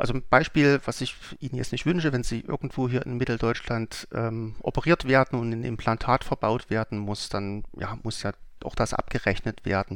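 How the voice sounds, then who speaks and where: His pitch is medium and varies in an ordinary way. The man keeps to a moderate pace. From Saxony, Germany (Leipzig). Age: 40s. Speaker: company CEO. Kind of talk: interview. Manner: hesitant with frequent fillers.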